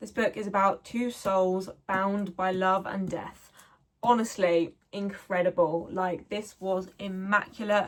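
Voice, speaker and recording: A woman with a southern English accent, medium in pitch. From South of England. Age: 20s. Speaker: book reviewer. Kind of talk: casual talk to camera. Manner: enthusiastic.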